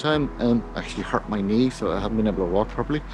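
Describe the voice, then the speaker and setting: A slight Irish accent at a very fast pace, with noticeable background noise. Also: man. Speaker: photography vlogger. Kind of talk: casual vlog talk to camera. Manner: relaxed, hesitant with fillers.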